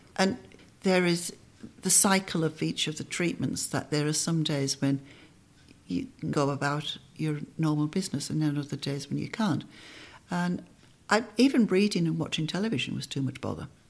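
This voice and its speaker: A woman with a very deep, low pitch and vocal fry, pausing long and often. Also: ordinary pitch variation, moderate pace. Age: 60s. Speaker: breast cancer survivor. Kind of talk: interview, personal story. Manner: witty.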